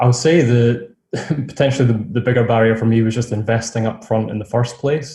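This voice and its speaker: With a dark, mellow tone that is somewhat breathy, a man speaks at medium pitch and a moderate pace. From Scotland, near Edinburgh. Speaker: online seller, course graduate. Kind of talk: interview.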